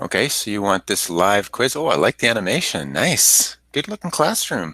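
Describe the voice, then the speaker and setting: A man's fairly low voice with very wide pitch swings at a moderate pace. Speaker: teacher trainer. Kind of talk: workshop tutorial. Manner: loud teacher voice.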